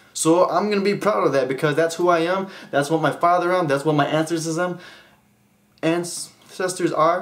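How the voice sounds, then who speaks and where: A high-pitched man at a moderate pace, with fairly even intonation, very even loudness, and audible room echo. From Hmong heritage. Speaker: vlogger. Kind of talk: casual vlog monologue. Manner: rambling, off-topic, self-interrupting.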